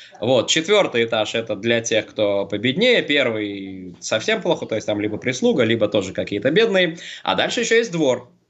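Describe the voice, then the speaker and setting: A plain, everyday voice at a moderate pace, with lively intonation. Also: man, medium pitch for a man. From St. Petersburg area, Russia. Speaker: quiz show player and city guide. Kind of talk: casual chat. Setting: Skype call.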